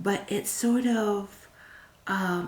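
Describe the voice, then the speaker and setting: A woman whispers, soft-spoken. Noticeable background noise can be heard. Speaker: tarot reader. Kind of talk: pick-a-card tarot reading. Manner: soft-spoken, whispered.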